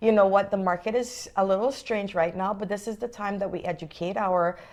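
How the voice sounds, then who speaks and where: A woman speaks with a non-native accent. Her tone is animated and her pitch is medium. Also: fairly quick pace. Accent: foreign. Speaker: realtor. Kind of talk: interview.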